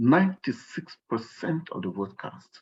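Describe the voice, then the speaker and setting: A man talks at a very slow pace. He has a strong Nigerian accent. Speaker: workshop guest speaker. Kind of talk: workshop talk. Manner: animated.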